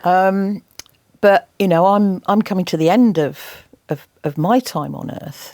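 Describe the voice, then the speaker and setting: With an English accent, a woman speaks fairly slowly at a medium pitch with ordinary pitch variation. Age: 60s. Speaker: environmental campaigner and TV presenter. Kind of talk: interview.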